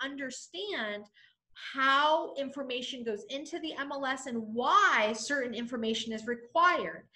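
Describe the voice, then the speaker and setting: A woman's raised, projected voice, high-pitched, bright and sharp, with an energetic tone, lively intonation, big swings in loudness and a moderate pace. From New England. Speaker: real estate trainer. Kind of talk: training webinar.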